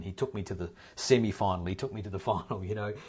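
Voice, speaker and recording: A man with a New Zealand accent, fairly low-pitched and somewhat breathy, at a very fast pace on a very clean recording with a silent background. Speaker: actor. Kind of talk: interview answer. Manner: casual, conversational.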